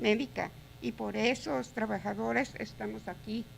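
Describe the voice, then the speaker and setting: Her pitch swings very widely as this woman talks at a moderate pace with vocal fry. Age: 60s. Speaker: home care provider, public commenter. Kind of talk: public comment.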